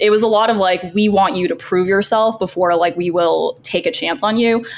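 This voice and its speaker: A woman with an unremarkable speaking voice talks at a medium pitch and moderate pace, using ordinary pitch variation. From US, moved from China at four. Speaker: content creator, former lawyer. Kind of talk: casual interview.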